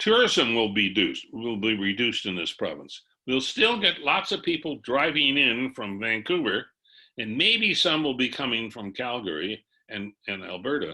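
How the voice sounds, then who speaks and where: A man with a bright, sharp tone speaks at a medium pitch with lively intonation. The background is quiet. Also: moderate pace. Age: 80s+. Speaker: retired economist and columnist. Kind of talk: webinar presentation. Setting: video call. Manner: conversational.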